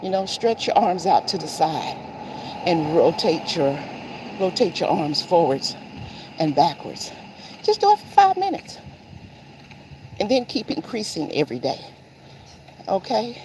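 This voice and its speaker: Long, frequent pauses break up speech with an American accent and very wide pitch swings, at a moderate pace over noticeable background noise. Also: woman, medium pitch for a woman. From Seattle, Washington, US. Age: 60s. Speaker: lifestyle vlogger. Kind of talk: casual vlog talk while walking. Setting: outdoors on a morning walk.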